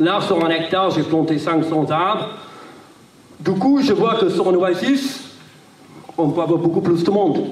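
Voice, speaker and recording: A high-pitched man with a British accent, fairly slow and very even in loudness, with ordinary pitch variation, long, frequent pauses, and audible room echo. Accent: British accent in French, kept. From Great Britain, raised in Brittany from age seven. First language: English (speaking French). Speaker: small farmer, panel speaker. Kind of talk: panel talk. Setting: round-table with audience. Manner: halting, many hesitations.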